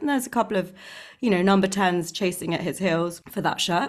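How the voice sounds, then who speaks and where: A woman with a medium-pitched voice talks in an animated tone at a moderate pace. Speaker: podcast host. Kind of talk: casual chat. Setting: video call. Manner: animated, chatty.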